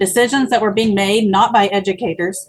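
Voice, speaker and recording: A woman speaks in an unremarkable speaking voice. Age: 30s. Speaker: teacher and political candidate. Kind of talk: interview.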